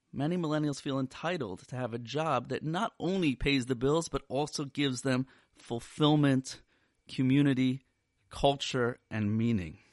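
Here is a man with an ordinary speaking voice, fairly high in pitch with ordinary pitch variation, at a moderate pace. The sound is dry and close with no echo, and the background is quiet. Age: 40s. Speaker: rabbi and therapist. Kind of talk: solo podcast talk. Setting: podcast recording.

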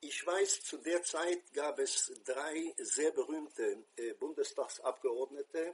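A man talks at a very slow pace, with hardly any pauses. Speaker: former Israeli envoy, commentator. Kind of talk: personal commentary monologue. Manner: hesitant, with frequent fillers.

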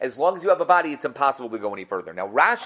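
A man with an animated tone. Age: 40s. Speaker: Torah teacher. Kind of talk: lecture.

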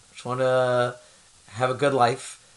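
Over noticeable background noise, a man speaks at a fairly slow pace and a medium pitch. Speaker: podcast host. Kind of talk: interview.

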